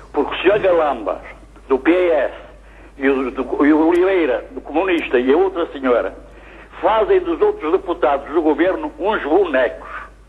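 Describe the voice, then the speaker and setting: Noticeable background noise behind a male speaker at a moderate pace. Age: 70s. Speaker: TV viewer caller, great-grandfather. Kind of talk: phone-in complaint.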